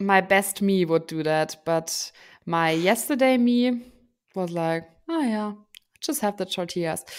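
Lively intonation marks this fairly slow delivery in a German accent. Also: woman. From Germany. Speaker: podcast co-host. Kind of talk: casual chat. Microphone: studio mic.

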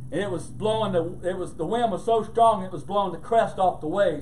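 Over light background noise, a man with a high pitch speaks at a fairly quick pace using lively intonation. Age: old. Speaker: pastor. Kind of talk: sermon. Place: church.

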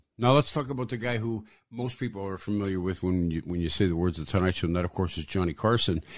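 A man talks at a very fast pace. His voice is fairly low, with ordinary pitch variation. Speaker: podcast host. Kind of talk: interview.

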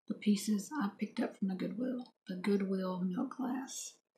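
Fairly even intonation runs through this woman's somewhat breathy speech. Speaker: vintage collector vlogger. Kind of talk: casual vlog chat. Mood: calm, slightly wistful. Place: home room. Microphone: phone near.

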